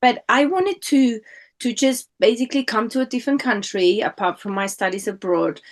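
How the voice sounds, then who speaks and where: Over a quiet background, a woman with a Spanish accent talks at a fairly quick pace with a fairly high pitch and lively intonation. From Spain. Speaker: life coach and entrepreneur. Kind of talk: podcast interview.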